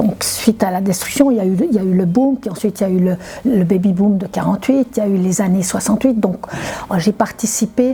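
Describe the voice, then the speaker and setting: A woman speaks at a fairly quick pace in a medium pitch with ordinary pitch variation. Noticeable background noise sits behind her. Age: 70s. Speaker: retired climate activist. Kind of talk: interview testimony. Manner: halting, many repetitions and hesitations.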